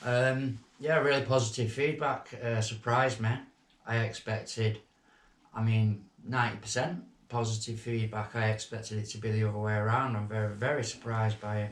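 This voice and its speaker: Somewhat breathy, the voice keeps a moderate pace. Its intonation stays fairly even. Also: man, medium pitch for a man. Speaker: former prison inmate. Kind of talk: podcast interview. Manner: halting.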